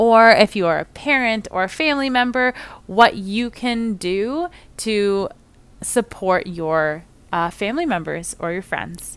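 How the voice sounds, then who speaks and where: Against a silent background in a very clean recording, a woman speaks at a fairly slow pace. Her voice is fairly high, with lively intonation. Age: 30s. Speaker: occupational therapist, podcast host. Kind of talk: solo podcast introduction.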